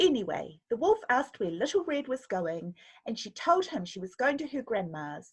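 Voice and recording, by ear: Natural-voiced reading aloud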